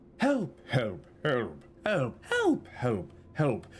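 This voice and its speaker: A put-on character voice from a man at a medium pitch, with clear background noise. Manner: eerie, pleading, many voices.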